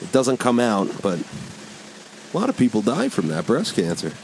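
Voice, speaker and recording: Noticeable background noise sits behind a man speaking. His tone is relaxed and his pitch medium. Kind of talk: casual banter, crude and joking. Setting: studio. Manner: relaxed, rambling, jokey.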